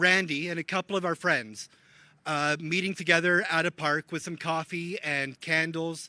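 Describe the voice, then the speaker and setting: Loud and at a moderate pace, a man with a Canadian accent speaks in a high pitch with ordinary pitch variation and a bright, sharp tone, in a dry, close sound with no echo. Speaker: homelessness advocate. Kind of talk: public speech.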